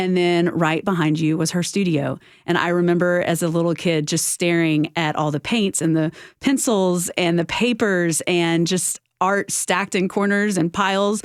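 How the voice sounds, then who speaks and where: A woman's fairly low voice in a Southern US accent, with fairly even intonation and very even loudness, in a very clean recording with a silent background. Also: moderate pace. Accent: Southern twang. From US South, Houston, Texas. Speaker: nonprofit executive. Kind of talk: interview. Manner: many fillers (um, uh).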